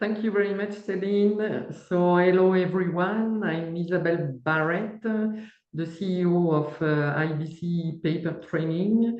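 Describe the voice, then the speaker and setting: With a French accent, a woman speaks at a fairly slow pace in a fairly low pitch and fairly even intonation, with audible room echo. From France, east near Strasbourg. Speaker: company CEO and paper engineer. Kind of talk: webinar presentation.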